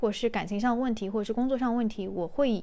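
Her voice has a dark, mellow tone and a fairly high pitch for a woman. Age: 20s. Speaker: podcast host. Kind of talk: casual solo monologue. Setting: recording at home while cooking.

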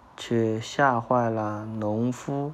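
A man's medium-pitched voice with a warm, gentle tone at a very slow pace. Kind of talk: children's picture-book reading aloud with interactive questions to a child. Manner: warm, gentle, coaxing, with soothing bedtime tone.

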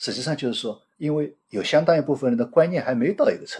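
A man speaks at a fairly quick pace in a somewhat breathy voice. His pitch is fairly high and his intonation is lively. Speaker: retired bank executive and researcher. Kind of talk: interview.

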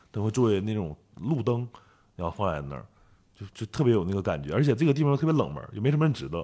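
A man's dark, mellow voice in a northeastern Chinese accent, fairly low in pitch, very fast, with very wide pitch swings and big swings in loudness, on a very clean recording with a silent background. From Northeast China. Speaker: photographer. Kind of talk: interview.

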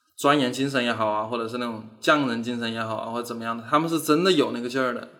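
Speech from a man comes very fast. The room echo is audible. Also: big swings in loudness. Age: 30s. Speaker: animation studio founder. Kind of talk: casual interview chat.

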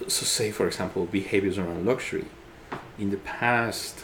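Fairly low male voice at a moderate pace, with ordinary pitch variation and audible room echo. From Ecuador. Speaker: designer. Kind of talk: interview. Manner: halting.

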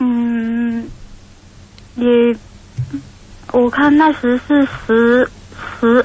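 With noticeable background noise behind her, a woman with a high pitch speaks very slowly in a monotone, flat tone, leaving long, frequent pauses. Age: 30s. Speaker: caller. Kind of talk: testimony. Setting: phone call. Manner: halting.

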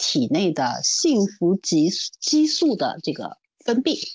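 A woman speaks with very wide swings in pitch. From Shanghai. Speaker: leadership development consultant and executive coach. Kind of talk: casual chat. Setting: remote recording.

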